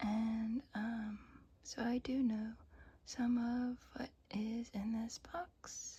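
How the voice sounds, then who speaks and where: The speaker whispers in a soft-spoken way. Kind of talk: ASMR unboxing. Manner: soft-spoken, whispered.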